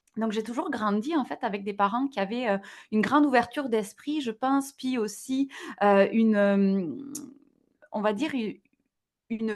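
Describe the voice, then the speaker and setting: A woman's fairly high-pitched voice, fairly slow in pace, with ordinary pitch variation. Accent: slight southwestern French. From southwest France, near Toulouse. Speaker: digital wellbeing entrepreneur. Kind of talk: podcast interview. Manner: hesitant, many fillers.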